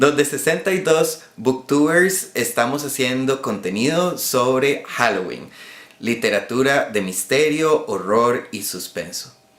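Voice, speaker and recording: Someone talks at a very slow pace with lively intonation over noticeable background noise. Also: man, fairly high pitch for a man. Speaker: booktuber. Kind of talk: casual talk to camera.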